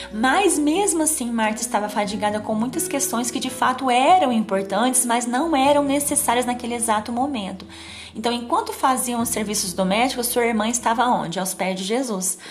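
A woman's high voice with lively intonation at a moderate pace, amid audible room echo and noticeable background noise. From interior of São Paulo state, Brazil. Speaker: devotional speaker. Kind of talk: devotional sermon.

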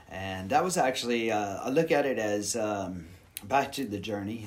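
A man with an American accent speaks in a fairly low pitch with lively intonation. Audible room echo surrounds his voice. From Houston, Texas. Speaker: yoga teacher. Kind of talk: casual interview.

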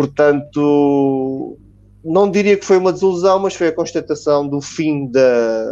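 A man talks at a fairly slow pace with a dark, mellow tone and a fairly high pitch. His pitch varies in an ordinary way over a quiet background. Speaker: football commentator. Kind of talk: panel discussion.

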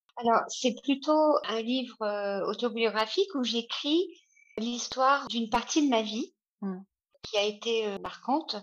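Ordinary pitch variation and a very slow pace from a woman with a fairly high voice. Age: 50s. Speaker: author. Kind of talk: interview. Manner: halting.

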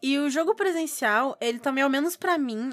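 A woman's high, lively voice at a moderate pace. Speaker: podcast co-host, tabletop RPG. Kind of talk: casual chat.

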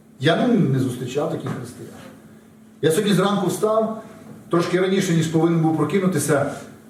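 Through noticeable background noise and audible room echo, a high-pitched man speaks with ordinary pitch variation and long, frequent pauses. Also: fairly quick pace. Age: 40s. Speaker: pastor. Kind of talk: sermon.

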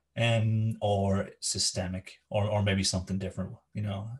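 Somewhat breathy speech with a slight Scottish accent comes through against a quiet background. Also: man. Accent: Scottish-tinged. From Scotland. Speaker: education podcast host. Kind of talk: interview. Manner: hesitant with fillers.

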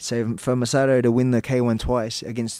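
A man with an Australian accent speaks at a moderate pace, his medium-pitched voice flat and monotone. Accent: thick Australian. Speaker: professional fighter. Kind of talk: casual chat. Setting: studio. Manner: halting.

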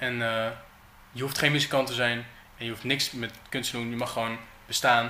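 A man's medium-pitched, monotone voice with flat intonation, moderate pace, long and frequent pauses, and noticeable background noise. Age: 20s. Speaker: artist. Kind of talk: casual chat. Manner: halting.

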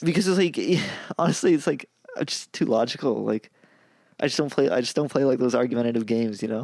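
Speaking at a fairly quick pace, a man uses a medium pitch. His pitch variation is ordinary. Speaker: podcast co-host. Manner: fast talker.

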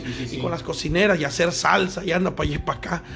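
The man speaks at a very fast pace. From Veracruz, Mexico. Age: 30s. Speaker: restaurant owner. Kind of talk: casual interview. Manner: halting.

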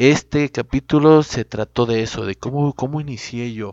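Here is a man with an ordinary speaking voice, talking at a fairly slow pace. The sound is dry and close with no echo, over a quiet background. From Mexico, Durango (Cuencamé). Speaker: podcast host, dog breeder. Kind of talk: casual monologue.

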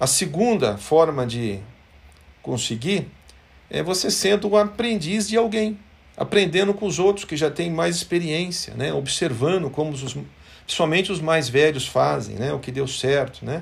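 A man speaks at a fairly slow pace in a plain, everyday voice, his pitch fairly high and his intonation lively. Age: 50s. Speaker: company executive. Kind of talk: motivational company devotional talk.

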